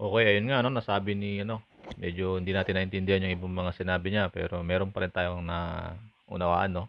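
At a very fast pace, a man with a very deep, low pitch talks in a monotone, flat intonation. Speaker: vlogger news commenter. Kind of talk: news reading vlog narration.

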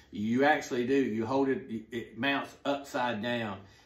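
A man's fairly even intonation, with audible room echo. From US South, Atlanta; US South. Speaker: golf simulator YouTuber. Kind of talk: product review. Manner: casual, halting with fillers. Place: home room.

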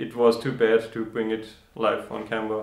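A man at a fairly slow pace with audible room echo. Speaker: woodworking channel host. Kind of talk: casual vlog chat. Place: workshop. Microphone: camera far.

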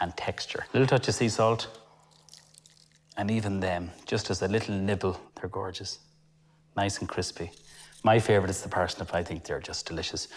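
Over light background noise, a man with a fairly low pitch and fairly even intonation talks at a moderate pace, leaving long, frequent pauses. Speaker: TV chef host. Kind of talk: cooking show tutorial. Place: kitchen. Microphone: lapel.

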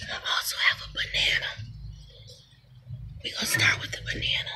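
A soft-spoken woman whispering at a fairly quick pace, with big swings in loudness and light background noise. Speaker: vlogger. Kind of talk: casual vlog chat. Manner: soft ASMR whisper, close to mic. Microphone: phone near.

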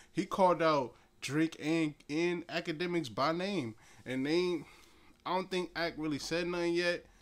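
A man with an American accent speaks in a high pitch at a fairly slow pace. His tone is animated. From New Jersey. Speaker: podcast host, hip-hop commentator. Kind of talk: casual solo commentary. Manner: animated, rambling with fillers. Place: home room. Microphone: phone near.

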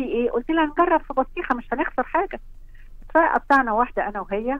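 A woman with lively intonation at a fairly quick pace, a dry sound with no echo and a quiet background. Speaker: caller. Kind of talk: interview answer. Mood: enthusiastic, warm. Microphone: phone line.

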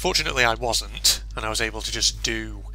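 A man speaks in a British accent. Music plays in the background. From UK. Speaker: gaming YouTuber. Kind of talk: gameplay commentary. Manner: animated.

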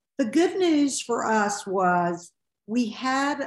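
A woman against a quiet background, with audible room echo. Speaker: podcast guest. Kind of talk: interview answer. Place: home room. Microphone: video call.

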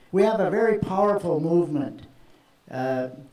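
Audible room echo around a man speaking fairly slowly. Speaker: speaker. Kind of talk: public speech. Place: stage. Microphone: handheld.

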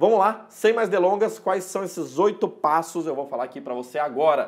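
A man is speaking. His pace is fairly quick. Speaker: import business educator. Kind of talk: tutorial. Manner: casual, conversational. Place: home room. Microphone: lapel.

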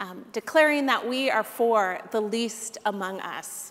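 A woman with a high pitch and ordinary pitch variation, at a fairly slow pace. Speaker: minister leading worship. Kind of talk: church announcements and call to worship. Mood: warm, welcoming. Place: church.

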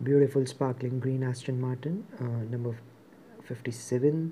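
A man at a fairly slow pace, with ordinary pitch variation and light background noise. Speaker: presenter. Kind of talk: unboxing commentary. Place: shop.

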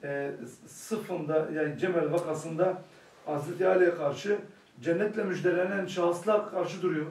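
Over noticeable background noise, a man with a high pitch speaks with fairly even intonation. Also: moderate pace. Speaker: study circle participant. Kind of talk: group discussion.

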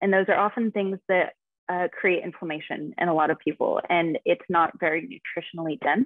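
In an American accent, a woman with a medium pitch talks at a fairly quick pace, the sound dry with no echo and the background quiet. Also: ordinary pitch variation. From US West, Nevada. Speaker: fitness and nutrition coach; nutrition coach. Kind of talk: casual interview. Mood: calm, informative. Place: home room. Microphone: video call.

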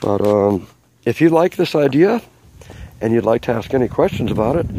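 A man speaks at a moderate pace, his pitch swinging very widely. The sound is dry with no echo, though background noise is noticeable. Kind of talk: casual show-and-tell tutorial. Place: garden. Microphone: phone near.

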